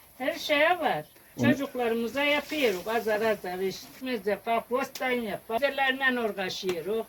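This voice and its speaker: Noticeable background noise sits behind a woman speaking at a fairly slow pace. Her intonation is lively, and she hardly pauses. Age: 70s. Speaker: village farmer, mulberry molasses maker. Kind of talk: interview answer.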